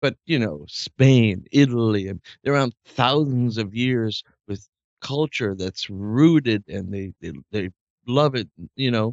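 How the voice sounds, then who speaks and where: Here a man talks in a plain, everyday voice at a fairly slow pace. His pitch is medium with ordinary variation, and the sound is dry and close with no echo. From Canada. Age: 40s. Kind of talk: casual chat.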